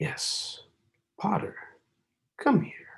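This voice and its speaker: A man's strained whispering in a put-on character voice. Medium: read story. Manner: strained, impatient.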